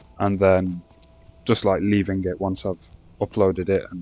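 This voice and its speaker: With music in the background, a man speaks at a moderate pace with a fairly low pitch. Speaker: gaming youtuber. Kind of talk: casual gameplay commentary. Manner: halting, stumbling over words.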